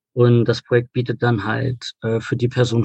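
Somewhat breathy speech comes through with a dry, close sound and no echo. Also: man. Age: 20s. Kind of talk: interview. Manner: hesitant, many filler sounds.

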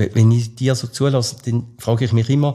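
Somewhat breathy and dark, mellow in tone, a man talks at a moderate pace with a medium pitch and ordinary pitch variation. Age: 60s. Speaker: lecturer and podcast host. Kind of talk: expert interview.

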